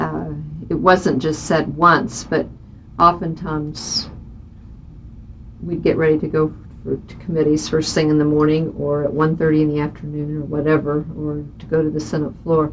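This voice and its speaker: A woman with a Midwestern US accent and a very deep, low pitch, monotone and flat, at a moderate pace with long, frequent pauses and big swings in loudness. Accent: US Midwest. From Kansas, Johnson County (Kansas City area). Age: 50s. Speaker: state senator. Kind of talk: oral history interview.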